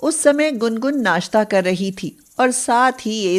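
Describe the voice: This recording features plain reading aloud.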